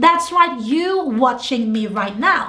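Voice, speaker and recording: A woman's animated tone and lively intonation, with noticeable background noise and audible room echo. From England, London. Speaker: business coach. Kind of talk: tutorial.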